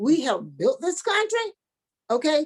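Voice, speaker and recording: High voice of a woman, swinging very widely in pitch. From US South, north Florida. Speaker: historian and foundation founder. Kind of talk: interview. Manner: animated.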